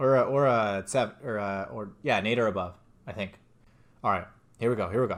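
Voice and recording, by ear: The pitch shifts in an ordinary way. The speaker is reading aloud in a natural voice.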